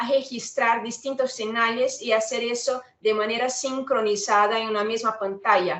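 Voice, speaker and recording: The woman's pitch sits fairly high. Her pitch variation is ordinary. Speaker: product specialist for lab equipment. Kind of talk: webinar product presentation. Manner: some hesitation with filler sounds.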